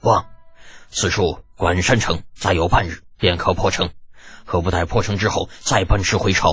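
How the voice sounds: A man's put-on character voice, very deep and low, raspy and gruff, at a moderate pace.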